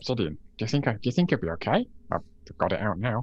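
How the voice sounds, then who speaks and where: Using a put-on character voice, a man talks at a fairly quick pace with a medium pitch. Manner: eager, sheepish.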